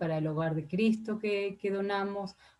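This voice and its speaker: This is a woman talking. The rise and fall of her pitch is ordinary. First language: not Spanish (Spanish is her third language) (speaking Spanish). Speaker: ambassador. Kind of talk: formal testimony before senate committee. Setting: senate committee session. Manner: hesitant, many fillers.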